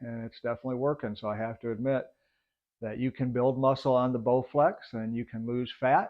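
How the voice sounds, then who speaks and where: Using an ordinary speaking voice, a man speaks at a medium pitch with fairly even intonation. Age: 60s. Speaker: fitness vlogger. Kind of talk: video progress update. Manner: casual, with many filler words.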